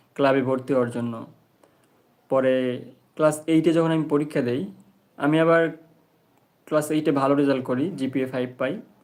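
This man has a normal speaking voice, fairly high in pitch with fairly even intonation. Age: 20s. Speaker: YouTuber and delivery worker. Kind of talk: casual live stream chat with viewers.

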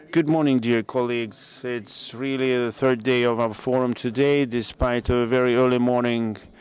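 A man's medium-pitched voice, monotone and flat, at a moderate pace against noticeable background noise. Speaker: conference moderator and physician. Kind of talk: conference opening speech. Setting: stage with audience.

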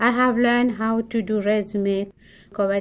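Over a quiet background, a woman with a Mauritian accent speaks at a fairly slow pace with fairly even intonation. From Mauritius. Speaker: newcomer immigrant. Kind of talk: personal story reading.

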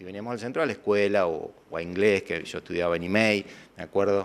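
Fairly low in pitch, a man speaks at a moderate pace. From Argentina, Villa Constitución area (Santa Fe); Santa Fe, Argentina. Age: 50s. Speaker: former news anchor. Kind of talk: interview. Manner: hesitant with filler sounds. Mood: calm, nostalgic recollection. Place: studio. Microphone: handheld.

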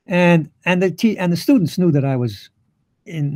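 Against a quiet background, a man with a New York accent and a dark, mellow tone speaks with lively intonation. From New York City. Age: 80s+. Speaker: physicist, Nobel laureate. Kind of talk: interview answer. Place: home room. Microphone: headset.

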